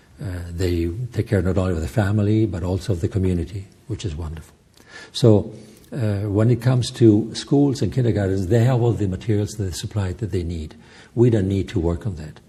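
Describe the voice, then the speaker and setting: A man speaks at a fairly quick pace in an Italian-Swiss accent, his pitch fairly low. His tone is dark and mellow, somewhat breathy, with ordinary pitch variation. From Italian-speaking Switzerland. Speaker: journalist and film director, charity head. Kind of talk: interview. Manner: halting.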